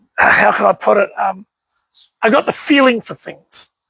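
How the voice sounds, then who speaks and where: A man talks fairly slowly in a New Zealand accent, his tone bright and sharp. The sound is dry and close, with no echo. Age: 60s. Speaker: collector and speedway enthusiast. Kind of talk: casual interview. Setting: at his home. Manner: hesitant, many fillers.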